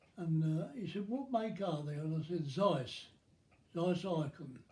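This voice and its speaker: With a dark, mellow tone set at a high pitch, a man talks at a fairly slow pace and with ordinary pitch variation, and the room echo is audible. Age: 80s+. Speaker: storyteller. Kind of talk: personal recollection. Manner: halting.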